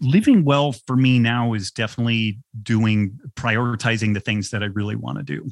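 A man's plain, everyday voice at medium pitch, moderate in pace, with ordinary pitch variation. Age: 50s. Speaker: health author and podcast guest. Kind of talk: interview.

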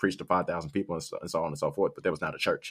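A man is heard in a very clean recording with a silent background. The sound is dry and close, without echo. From South Haven, Michigan, US. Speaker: podcast co-host. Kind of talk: casual chat.

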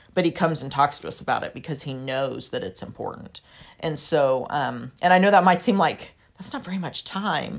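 Speaking at a fairly quick pace, a woman with a fairly low pitch shows vocal fry and big swings in loudness. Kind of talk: casual advice chat.

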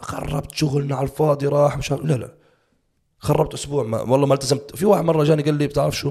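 With fairly even intonation, a man talks at a very fast pace and a fairly high pitch. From Jordanian family, raised in Saudi Arabia. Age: 30s. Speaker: bodybuilding coach. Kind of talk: casual interview chat.

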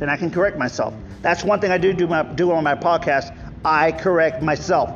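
With an American accent, a man speaks at a moderate pace and a fairly high pitch amid noticeable background noise. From Texas, Rio Grande Valley. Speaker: podcast host, chef and political candidate. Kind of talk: casual solo monologue. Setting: outdoors under a park pavilion.

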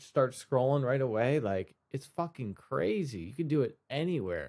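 A man with an ordinary speaking voice and medium pitch talks at a moderate pace with lively intonation. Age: 20s. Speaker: podcast host and musician. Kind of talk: solo podcast monologue. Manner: casual, with many fillers.

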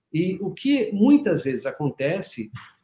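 A man is speaking. His pitch swings very widely. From Paraná, Brazil. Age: 40s. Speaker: leadership and performance mentor. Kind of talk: interview conversation.

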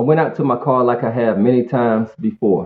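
In an American accent, a man at a medium pitch talks at a fairly quick pace with ordinary pitch variation. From North Carolina, Greensboro. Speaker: sober advocate. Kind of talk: interview, personal recovery story. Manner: hesitant, many fillers.

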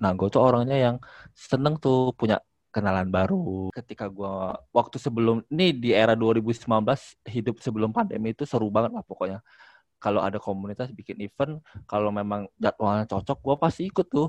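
A man talks in a plain, everyday voice at medium pitch. The sound is dry and close, with no echo. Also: ordinary pitch variation, fairly quick pace. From Palembang, South Sumatra. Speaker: airport employee. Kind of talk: casual chat.

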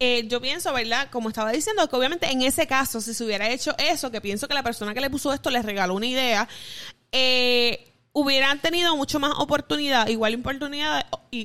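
A raised, projected voice with a bright, sharp tone moves at a fairly quick pace with ordinary pitch variation. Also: woman, high pitch for a woman. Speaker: podcast co-host. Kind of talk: casual chat.

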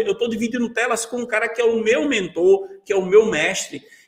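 A man talks at a moderate pace. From Brazil, Pernambuco interior. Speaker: Photoshop instructor. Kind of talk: live-stream interview; software tutorial.

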